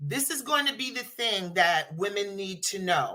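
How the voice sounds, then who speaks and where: A woman with a medium pitch speaks loudly at a fairly slow pace. Her tone is animated, bright and sharp, with very wide pitch swings. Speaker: patient advocate. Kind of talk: casual chat. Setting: audio chat room.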